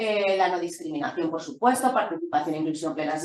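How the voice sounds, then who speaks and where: With audible room echo around her, a woman talks at a very fast pace with ordinary pitch variation. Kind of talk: lecture.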